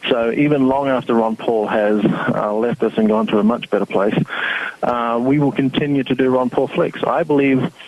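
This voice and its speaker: A medium-pitched male voice at a fairly quick pace, with ordinary pitch variation and noticeable background noise. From New Zealand and Australia. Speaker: website founder and activist. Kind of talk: interview.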